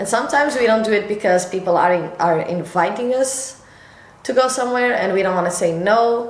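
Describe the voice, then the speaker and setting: Speaking at a fairly quick pace, a woman with a fairly high pitch uses lively intonation, with audible room echo and noticeable background noise. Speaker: lifestyle vlogger. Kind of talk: casual vlog talk to camera. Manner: slightly halting, self-correcting.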